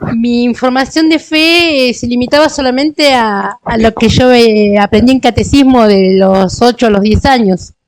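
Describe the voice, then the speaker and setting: A woman's high-pitched voice at a fairly slow pace, with hardly any pauses. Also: ordinary pitch variation. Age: 60s. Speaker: parishioner giving testimony. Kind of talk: testimony. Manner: halting, with many fillers.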